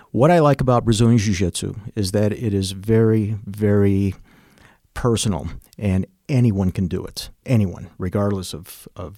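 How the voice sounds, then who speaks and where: In a normal speaking voice, a man with an American accent talks at a fairly slow pace and a fairly low pitch with ordinary pitch variation, on a very clean recording with a silent background. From Chicago, US Midwest. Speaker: martial arts instructor. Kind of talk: casual interview.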